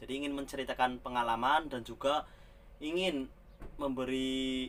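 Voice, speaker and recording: A man speaks at a fairly slow pace with a slight Banyumas accent. His pitch sits in the medium range. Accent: slight Ngapak Javanese accent in Indonesian. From Central Java, Ngapak region (Tegal). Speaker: migrant bus driver, vlogger. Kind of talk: casual vlog monologue.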